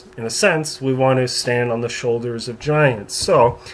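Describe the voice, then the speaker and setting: Noticeable background noise sits under the recording. Over it, a man speaks at a fairly slow pace. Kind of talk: software tutorial narration. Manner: casual, conversational.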